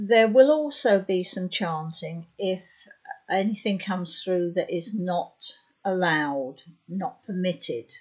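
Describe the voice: A woman talks at a slow pace with a fairly low pitch. Her tone is slightly mellow, with a slightly husky edge. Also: ordinary pitch variation.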